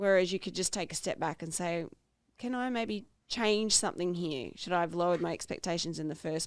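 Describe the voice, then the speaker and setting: A woman's fairly low voice with an Australian accent at a fairly quick pace, on a very clean recording with a silent background. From Australia, small town north of Sydney. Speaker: podcast co-host. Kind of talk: casual chat.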